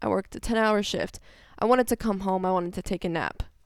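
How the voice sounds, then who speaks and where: A woman with an American accent at medium pitch, fairly quick pace and ordinary pitch variation, on a very clean recording with a silent background. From US South, Georgia/Tennessee. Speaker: guest, host's wife.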